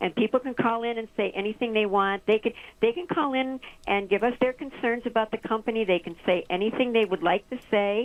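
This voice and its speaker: At a fairly quick pace, a woman speaks with a fairly high pitch and ordinary pitch variation. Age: 60s. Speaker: village mayor. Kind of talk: radio interview. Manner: halting.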